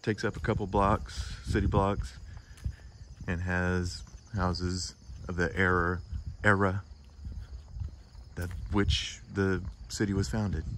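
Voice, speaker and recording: At a fairly slow pace, a man with a very deep, low pitch and ordinary pitch variation speaks with long, frequent pauses. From Arkansas, Little Rock. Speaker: travel vlogger. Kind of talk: travel vlog narration. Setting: walking outdoors and in a museum.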